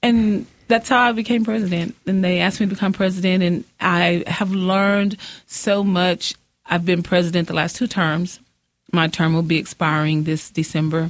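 At a moderate pace, a woman speaks with very even loudness and ordinary pitch variation. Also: medium pitch for a woman. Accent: West Texas. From West Texas (Odessa/Midland). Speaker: president of a local political women's club. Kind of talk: casual interview.

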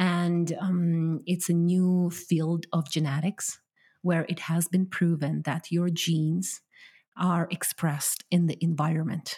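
A woman speaks very slowly in a dark, mellow, somewhat breathy voice, fairly low in pitch, with monotone, flat intonation and very even loudness. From Ukraine. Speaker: hypnotherapist. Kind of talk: interview.

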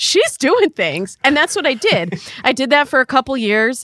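The recording is very clean, with a silent background and a dry, close sound with no echo. The voice has a bright, sharp tone, vocal fry and very wide pitch swings. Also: woman. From US Midwest, Michigan. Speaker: dating coach and podcaster. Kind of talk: casual interview chat.

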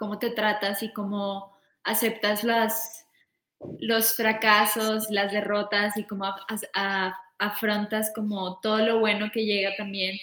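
Fairly slow pacing and a fairly high pitch from a woman with a normal speaking voice. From Colombia, Bogotá. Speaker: music tour manager. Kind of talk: casual interview.

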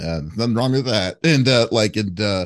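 Talking at a moderate pace, a man uses an ordinary speaking voice with ordinary pitch variation. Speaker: interviewer. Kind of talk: casual interview. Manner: filler-heavy, stumbling.

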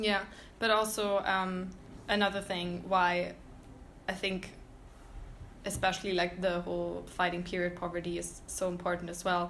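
A woman talks at a moderate pace in a flat monotone, at medium pitch, with long, frequent pauses. Audible room echo surrounds her voice. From Germany, Berlin. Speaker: student podcast host. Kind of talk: casual chat.

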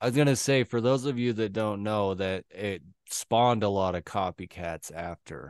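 Against a quiet background, a man uses an ordinary speaking voice at a fairly low pitch with ordinary pitch variation, the sound dry and close with no echo. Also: moderate pace. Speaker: podcast co-host. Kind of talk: casual chat.

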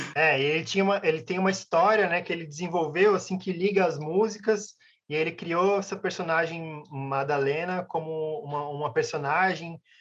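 At a moderate pace, a man with a Brazilian accent speaks at a high pitch with fairly even intonation. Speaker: band musician. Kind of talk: casual interview. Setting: video call.

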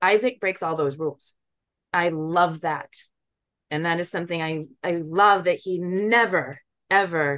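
A woman with an ordinary speaking voice talks at a fairly low pitch and a moderate pace, with ordinary pitch variation. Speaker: documentary filmmaker. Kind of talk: interview.

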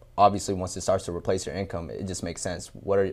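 A man speaks at a fairly low pitch with fairly even intonation, in a normal speaking voice. The recording is very clean, with a silent background. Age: 20s. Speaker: sales closer and business owner. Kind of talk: interview.

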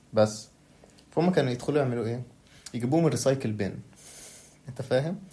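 The voice has a dark, mellow tone and is somewhat breathy, moving at a fairly quick pace with long, frequent pauses and ordinary pitch variation. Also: man, medium pitch for a man. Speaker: podcast guest, university student. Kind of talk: casual chat. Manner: soft-spoken.

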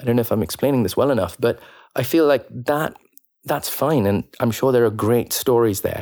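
A normal speaking voice from a man, medium in pitch with ordinary pitch variation, at a fairly quick pace and very even loudness, on a very clean recording with a silent background. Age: young. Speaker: actor. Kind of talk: casual chat.

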